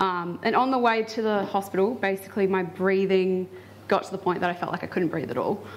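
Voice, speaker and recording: Here is a woman with a plain, everyday voice. Her pitch sits at medium with ordinary variation. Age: 20s. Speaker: flu patient sharing case study. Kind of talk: personal testimony at public talk. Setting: symposium with live audience. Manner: casual, many filler words.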